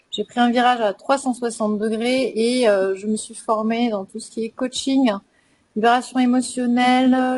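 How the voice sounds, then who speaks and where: A woman with a normal speaking voice talks at a fairly slow pace, her fairly high pitch held in fairly even intonation. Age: 30s. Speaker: emotional release coach. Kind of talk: online panel discussion.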